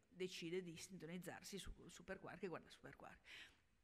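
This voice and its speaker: A woman speaks in an ordinary speaking voice. Her intonation is fairly even. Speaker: health journalist and science communicator; health journalist. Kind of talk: panel discussion. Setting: stage with audience. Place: hall. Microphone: podium.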